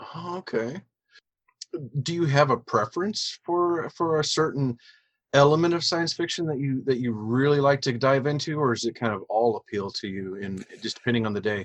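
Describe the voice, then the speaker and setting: A man with a normal speaking voice talks at a moderate pace, fairly high in pitch, with lively intonation. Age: 40s. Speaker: podcast host. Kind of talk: interview.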